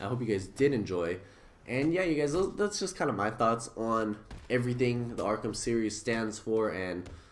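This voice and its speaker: Audible room echo surrounds a man whose medium pitch moves with lively intonation. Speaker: gaming YouTuber. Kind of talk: casual video commentary. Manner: fast; slurred words.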